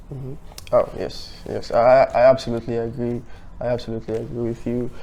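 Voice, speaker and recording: A man rushes through his words at a very fast pace while noticeable background noise fills the recording. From Sierra Leone. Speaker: podcast host, student. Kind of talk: casual interview.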